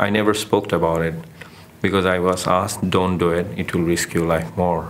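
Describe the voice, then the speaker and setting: A man with a Bengali accent and a very deep, low voice, over noticeable background noise. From Bangladesh. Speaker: documentary photographer. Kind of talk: interview testimony. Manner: hesitant, with fillers.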